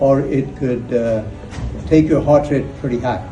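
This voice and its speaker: With music in the background and audible room echo, a man talks at a medium pitch and a fairly slow pace with ordinary pitch variation. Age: 60s. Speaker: author and motivational speaker. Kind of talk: personal testimony. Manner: halting, repeats words.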